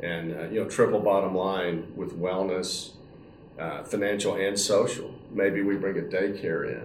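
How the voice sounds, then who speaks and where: In a plain, everyday voice, a man speaks fairly slowly, at fairly low pitch and with fairly even intonation. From Texas, Dallas. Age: 60s. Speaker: senior living company CEO. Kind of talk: interview.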